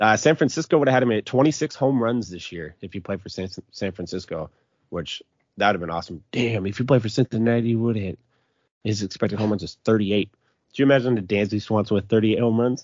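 A man's fairly low voice at a very fast pace. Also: ordinary pitch variation. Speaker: fantasy baseball podcast host. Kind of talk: casual sports chat.

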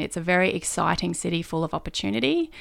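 Recorded very cleanly against a silent background, a woman with an Australian accent speaks at a fairly quick pace in a fairly low voice. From northern New South Wales, Australia. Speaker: state politician. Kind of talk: interview.

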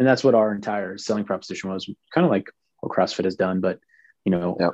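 A man with a fairly low voice speaks in a dry, close sound with no echo against a quiet background. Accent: American. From Pittsburgh, US. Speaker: fitness industry entrepreneur. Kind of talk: casual interview.

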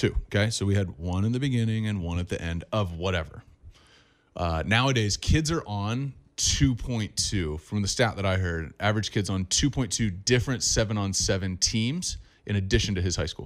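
A man with an American accent has a normal speaking voice and a fairly low pitch. He talks at a moderate pace with ordinary pitch variation. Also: very clean recording, silent background. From Southern California. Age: 30s. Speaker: quarterback coach. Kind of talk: interview.

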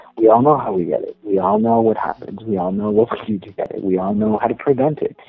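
Over noticeable background noise, a man with an American accent speaks at a very fast pace, with big swings in loudness and fairly even intonation. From US South, Texas-Mexico border town. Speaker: adult film performer. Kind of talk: interview. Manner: hesitant, many fillers.

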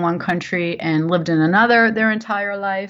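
With an American accent, a woman speaks at a moderate pace and medium pitch. Hers is an unremarkable speaking voice with fairly even intonation. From New Jersey. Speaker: novelist. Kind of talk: interview.

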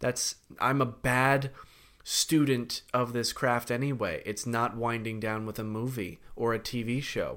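A man's medium-pitched, monotone, flat delivery at a fairly slow pace, in a very clean recording with a silent background. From Connecticut. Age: 30s. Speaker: actor. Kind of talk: casual chat.

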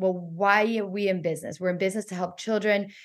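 The speaker is a woman with an American accent. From Florida, US. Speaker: entrepreneur and author. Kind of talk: interview.

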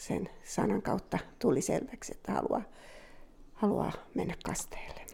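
A woman whispers fairly slowly, pausing often and at length. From Finland, Southern Ostrobothnia (Jurva). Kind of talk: testimony.

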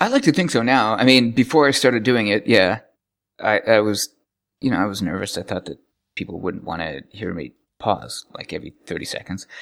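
Against a silent background in a very clean recording, a man of medium pitch speaks with lively intonation at a fairly quick pace. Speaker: programmer and podcaster. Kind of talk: casual interview chat. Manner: halting, restarts sentences; not slick, pauses a lot.

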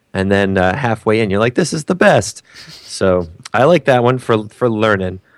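The man has an unremarkable speaking voice at medium pitch with lively intonation. He moves at a moderate pace, and the sound is dry and close with no echo. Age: middle-aged. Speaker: comedian. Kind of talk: casual chat. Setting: video call.

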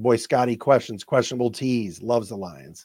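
This man talks at a fairly quick pace with an American accent and a medium pitch. Vocal fry runs through his voice. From Cleveland, Ohio. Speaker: sports podcast host. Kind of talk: sports radio reaction, excited game recap with live-call play-by-play. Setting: studio podcast recording. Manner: animated, emotional, excitable; exasperated, laughing, rapid play-by-play.

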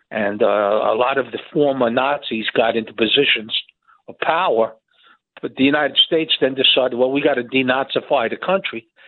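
Talking at a fairly quick pace, a man with an American accent has an ordinary speaking voice at a medium pitch with ordinary pitch variation. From New Jersey. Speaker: caller. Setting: phone call.

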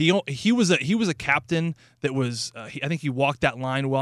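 With an American accent, a man talks in a fairly high pitch. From St. Louis, Missouri. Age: 30s. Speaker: radio hockey analyst, former pro hockey player. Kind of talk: casual chat.

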